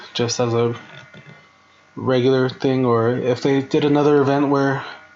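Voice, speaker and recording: With music in the background, a man talks at a medium pitch with fairly even intonation. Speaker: gaming YouTuber. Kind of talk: tutorial. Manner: casual, hesitant.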